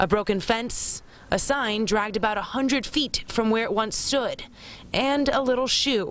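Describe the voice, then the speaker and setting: A woman speaks in a normal speaking voice at a moderate pace. Her pitch is fairly high, with ordinary variation. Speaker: TV news reporter. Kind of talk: TV news report / live broadcast.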